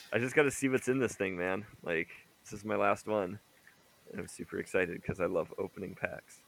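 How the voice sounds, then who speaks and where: Using a raspy, put-on character voice at a fairly low pitch, a man talks at a fairly quick pace. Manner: talking quickly, excited.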